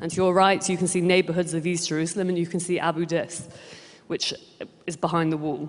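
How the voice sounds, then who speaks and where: A woman with a British accent speaks very fast in a passionate tone, her fairly low pitch held in monotone, flat intonation amid noticeable background noise. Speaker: director of an advocacy group. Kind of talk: conference speech. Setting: stage with audience.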